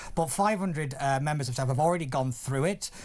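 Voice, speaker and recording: This voice comes with a northern English accent at a very fast pace. Its intonation is lively. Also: man. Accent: weird accent, northern English. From northern England. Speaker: political commentator. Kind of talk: talk radio panel discussion. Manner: halting.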